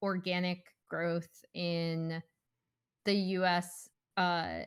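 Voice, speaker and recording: A woman talks at a medium pitch with a slight northern US accent. Her intonation is monotone and flat, and the recording is very clean with a silent background. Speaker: esports podcast host. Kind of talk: casual chat.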